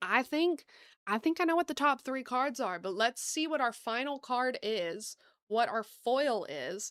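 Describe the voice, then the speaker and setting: A woman with an American accent speaks in an animated tone at a high pitch, her intonation lively and her pace fairly slow, on a very clean recording with a silent background. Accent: Southern US, comes out sometimes. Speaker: gaming streamer. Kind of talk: live gameplay stream chat.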